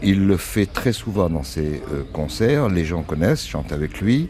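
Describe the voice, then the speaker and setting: A man's lively intonation stands out over noticeable background noise as he talks at a moderate pace. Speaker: commentator on the singer's songs. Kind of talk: casual analysis.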